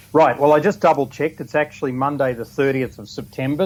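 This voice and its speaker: A man with a New Zealand accent, talking at a very fast pace with fairly even intonation. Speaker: business speaker, mastermind organiser. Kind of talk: radio interview.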